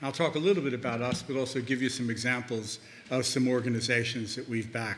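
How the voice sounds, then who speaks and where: A man's medium-pitched voice with an American accent and audible room echo. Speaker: investment bank founder, conference panelist. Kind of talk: conference presentation. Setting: conference panel. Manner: halting, with frequent fillers.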